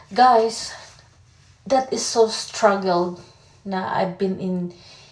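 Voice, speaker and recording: Noticeable background noise sits behind a woman at a medium pitch. She talks at a very slow pace with fairly even intonation. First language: Tagalog. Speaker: vlogger. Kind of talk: personal vlog testimony. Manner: halting.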